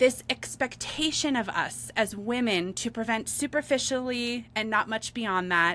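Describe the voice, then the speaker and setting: Animated and bright, sharp in tone, a woman with a fairly high pitch talks at a moderate pace. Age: 40s. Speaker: podcast co-host. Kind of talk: casual chat.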